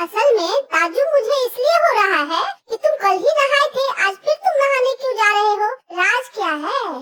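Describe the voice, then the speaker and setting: In a cartoonish character voice, a woman speaks at an extremely high pitch with very wide pitch swings and a moderate pace. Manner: sharp, teasing.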